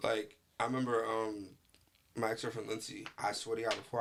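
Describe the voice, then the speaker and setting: A man with a New York accent speaks at medium pitch. His intonation is fairly even. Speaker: podcast host. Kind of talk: casual chat.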